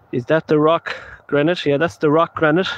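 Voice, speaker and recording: A man with a western Irish accent talks fairly quickly at a fairly high pitch. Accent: Irish (west of Ireland). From Ireland, Galway. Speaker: paranormal investigator. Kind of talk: live stream commentary. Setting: outdoors at night. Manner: casual, rambling.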